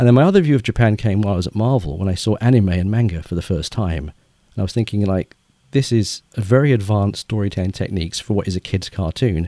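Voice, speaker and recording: Speaking very fast with an English accent, a man's fairly low, dark and mellow voice moves with ordinary pitch variation, recorded dry and close with no echo. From England. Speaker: children's author. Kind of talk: interview.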